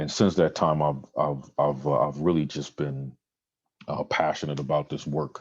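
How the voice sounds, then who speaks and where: A man's very deep, low voice with vocal fry, flat monotone intonation and a moderate pace. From Trinidad and Tobago. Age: 40s. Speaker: community program director. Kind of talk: presentation to a club.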